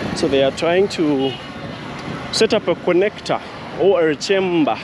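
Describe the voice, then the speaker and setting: Against noticeable background noise, a man with a high pitch speaks at a fairly slow pace, with ordinary pitch variation and very even loudness. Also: dry sound with no echo. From Uganda. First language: not English. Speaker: video blogger. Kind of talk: walking tour vlog narration. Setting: outdoors. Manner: casual. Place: street. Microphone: phone near.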